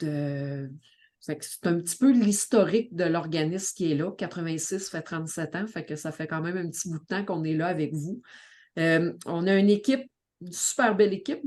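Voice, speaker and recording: A woman speaks at a moderate pace in a Quebec accent, her pitch fairly low and varying in an ordinary way. Her loudness swings widely against a quiet background. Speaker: community organization director and family coach. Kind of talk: podcast introduction.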